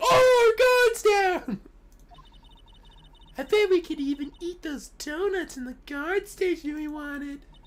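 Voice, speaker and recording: Squeaky and extremely high in pitch, a put-on character voice speaks in a playful tone at a fairly slow pace, with long, frequent pauses. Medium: game stream. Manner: perky, playful.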